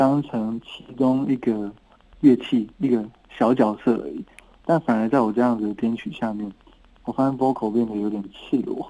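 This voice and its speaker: In a normal speaking voice at a moderate pace, a man talks at a medium pitch with ordinary pitch variation and big swings in loudness. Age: 30s. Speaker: singer-songwriter. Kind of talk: casual interview.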